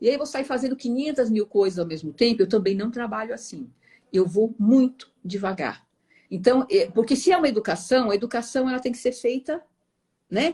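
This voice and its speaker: A woman's fairly high-pitched voice with a dark, mellow tone, lively intonation and a moderate pace. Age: 60s. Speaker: meditation teacher. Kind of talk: interview.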